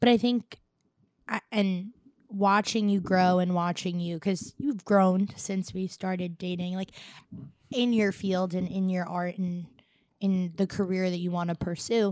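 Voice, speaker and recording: A woman at a medium pitch has an unremarkable speaking voice with fairly even intonation. Her fairly slow speech comes through in a very clean recording with a silent background. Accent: American. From Staten Island, New York. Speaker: host's wife, interviewer. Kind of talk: casual chat.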